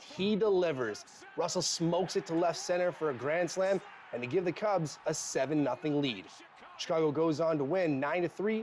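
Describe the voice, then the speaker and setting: A man's high voice at a fairly quick pace, ordinary pitch variation, and noticeable background noise. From Canada. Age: 20s. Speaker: broadcast journalism student. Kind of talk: TV sports news anchoring.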